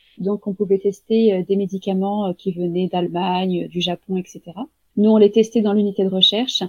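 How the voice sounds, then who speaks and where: Her medium pitch held in a monotone, flat intonation, a woman speaks at a fairly quick pace. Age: 30s. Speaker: home-care nurse. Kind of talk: interview. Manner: hesitant, many fillers.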